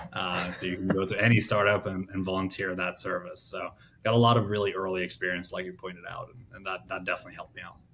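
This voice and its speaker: A man with a very deep, low voice talks very fast in a flat monotone, with big swings in loudness. Noticeable background noise sits behind him. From Norway. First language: Norwegian. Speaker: startup founder. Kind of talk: interview.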